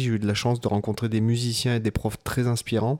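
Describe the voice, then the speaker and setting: At a moderate pace comes a plain, everyday voice. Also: man. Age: 30s. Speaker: guitarist and podcast co-host. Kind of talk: casual chat.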